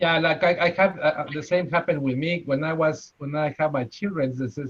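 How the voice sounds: A fairly high-pitched man speaks with a strong Spanish accent. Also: fairly even intonation, fairly quick pace.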